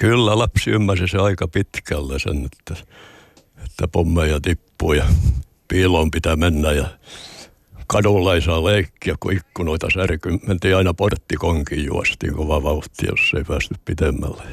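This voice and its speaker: His pitch is very deep and low, with vocal fry. The man keeps ordinary pitch variation at a fairly slow pace. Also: dry, close sound with no echo. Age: 80s+. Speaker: retired sea captain and hospice volunteer. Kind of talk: interview.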